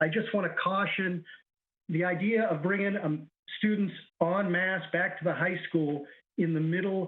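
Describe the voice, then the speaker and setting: Fairly even in intonation, a man speaks at a high pitch. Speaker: special education teacher. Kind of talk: public comment. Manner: fast.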